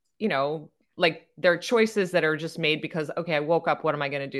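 Her voice is an ordinary speaking voice, fairly low in pitch for this woman, with ordinary pitch variation. The background is quiet. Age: 50s. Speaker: yoga and breathwork teacher, podcast co-host. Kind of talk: casual chat.

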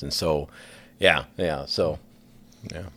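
A man's very deep, low voice, with fairly even intonation, sounds out in a very clean recording with a silent background. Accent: Midwestern American. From northwest Iowa. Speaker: school counselor. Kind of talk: casual chat.

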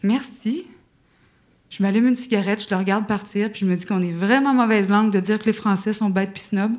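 A woman with a Quebec accent speaks very fast at medium pitch, her intonation fairly even. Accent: Québécois. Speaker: actress and screenwriter. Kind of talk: storytelling. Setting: stage with audience.

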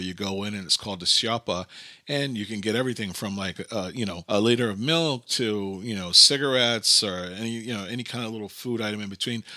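A man with a New York accent talks at a fairly quick pace in a bright, sharp tone at a fairly low pitch. The recording is very clean, with a silent background. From US, Brooklyn, New York. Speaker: podcast host. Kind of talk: casual monologue. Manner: animated.

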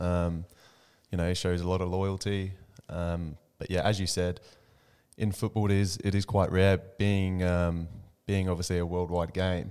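On a very clean recording with a silent background, a man with a very deep, low, dark and mellow voice talks at a moderate pace in a monotone, flat intonation, leaving long, frequent pauses. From England. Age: 20s. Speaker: professional footballer. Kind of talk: casual interview. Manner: halting, many fillers.

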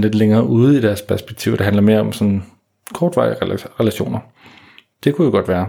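A man speaks at a fairly quick pace. His pitch is fairly low and his tone is dark and mellow. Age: 30s. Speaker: dating coach and podcast host. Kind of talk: solo podcast monologue. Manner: hesitant, many fillers.

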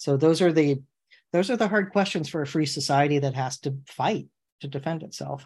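Against a quiet background, a man with a fairly high pitch talks at a moderate pace, somewhat breathy, with ordinary pitch variation. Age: 40s. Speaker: attorney podcast host. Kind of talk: casual chat.

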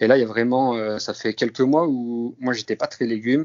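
This is a man's voice. He talks at a moderate pace. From northeastern France (Grand Est). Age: 30s. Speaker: amateur runner, security guard. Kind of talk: interview. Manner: halting.

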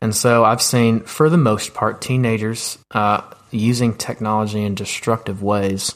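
A man talks in a plain, everyday voice. His pace is fairly slow, and his intonation fairly even. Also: medium pitch for a man. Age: 20s. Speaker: youth ministry director. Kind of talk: interview.

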